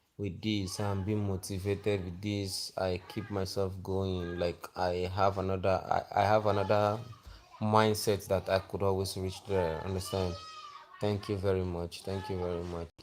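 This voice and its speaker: Music plays in the background while the speaker keeps a monotone, flat intonation. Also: man, very deep, low pitch for a man, moderate pace. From Nigeria, Akwa Ibom State. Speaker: livestreamer. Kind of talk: live stream monologue.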